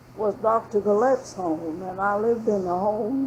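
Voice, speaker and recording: The speaker has a Southern accent and talks at a fairly slow pace. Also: woman. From Florida (Jacksonville). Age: 90. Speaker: oral history interviewee. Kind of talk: oral history interview. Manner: conversational.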